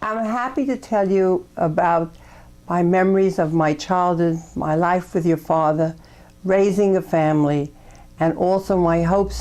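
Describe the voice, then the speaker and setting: This woman speaks with a New York accent. Her pace is fairly slow. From New York, Brooklyn. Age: 80s+. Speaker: grandmother recording family memories. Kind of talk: memoir narration.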